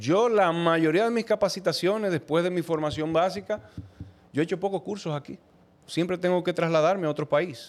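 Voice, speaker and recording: A man with a Dominican Cibao accent speaks at a moderate pace, his pitch high and its variation ordinary. The recording is very clean, with a silent background. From Dominican Republic, Moca. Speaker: dental technician. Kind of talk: casual chat.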